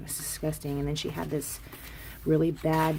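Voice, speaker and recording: Amid noticeable background noise, a soft-spoken woman talks at a moderate pace. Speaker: crafting vlogger. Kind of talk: casual haul video. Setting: at home, craft room. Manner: quiet, soft-spoken.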